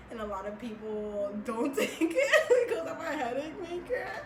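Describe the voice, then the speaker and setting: Amid noticeable background noise and audible room echo, a woman speaks in an animated tone at a fairly high pitch. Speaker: beauty vlogger. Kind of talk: casual chat. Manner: loud.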